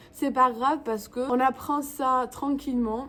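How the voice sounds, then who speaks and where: A woman's voice at a moderate pace. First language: English (speaking French). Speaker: YouTuber. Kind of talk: vlog tutorial. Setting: home, in front of camera. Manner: halting.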